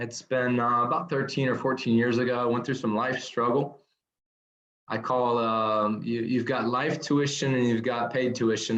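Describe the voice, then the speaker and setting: Amid audible room echo, a man of medium pitch speaks at a moderate pace in a monotone, flat intonation. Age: 30s. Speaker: nurse turned speaker and business owner. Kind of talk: podcast interview.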